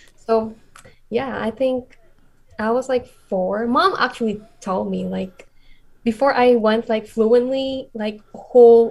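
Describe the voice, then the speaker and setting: A woman's very slow speech in a Filipino accent, with fairly even intonation and long, frequent pauses. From Philippines. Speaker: content creator. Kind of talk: casual chat. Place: home room. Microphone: video call.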